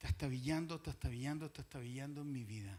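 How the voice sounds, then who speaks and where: The man's intonation is lively at a moderate pace. The recording is very clean with a silent background. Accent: Chilean. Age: 60s. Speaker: pastor. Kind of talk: sermon.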